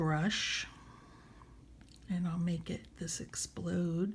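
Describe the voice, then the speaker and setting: Somewhat breathy speech comes in an American accent. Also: woman. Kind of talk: casual app tutorial demo.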